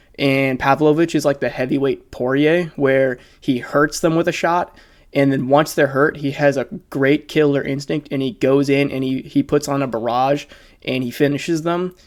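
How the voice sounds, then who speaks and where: A fairly quick pace on a very clean recording with a silent background. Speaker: MMA commentary YouTuber. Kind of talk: casual analysis monologue. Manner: fast.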